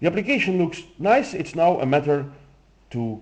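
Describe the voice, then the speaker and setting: A man with a Flemish accent talks at a moderate pace. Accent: Flemish Dutch accent in English. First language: Dutch. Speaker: software demo presenter. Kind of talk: tutorial.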